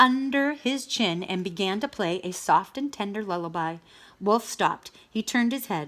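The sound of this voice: The intonation moves in a lively way. It is an unforced reading voice.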